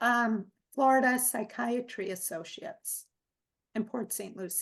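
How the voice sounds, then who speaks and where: Over a quiet background, a woman speaks at a fairly slow pace in a high voice. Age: 60s. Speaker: nutrition psychotherapist. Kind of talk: interview. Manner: frequent filler words.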